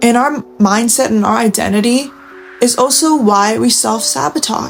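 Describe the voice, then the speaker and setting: A woman speaks with music in the background. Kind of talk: late-night confessional talk to camera. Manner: soft-spoken, intimate.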